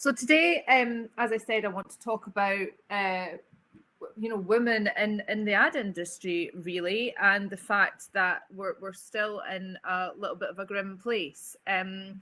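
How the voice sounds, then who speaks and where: A woman with an Edinburgh accent speaks at a fairly slow pace in a medium pitch, her bright, sharp tone showing ordinary pitch variation and big swings in loudness. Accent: Scottish (Edinburgh). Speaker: agency managing director. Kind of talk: webinar talk.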